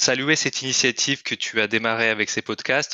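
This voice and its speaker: A man speaks at a moderate pace. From Kyrgyzstan. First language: Russian (speaking French). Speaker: corporate training manager. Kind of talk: podcast interview. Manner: hesitant, many fillers.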